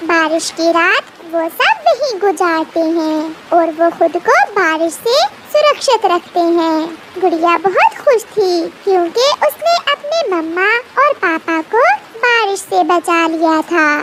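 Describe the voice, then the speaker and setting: A woman puts on a squeaky character voice at an extremely high pitch, with lively intonation and a fairly slow pace. Light background noise sits behind her. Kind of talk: children's cartoon story narration. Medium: cartoon. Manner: simple, gentle.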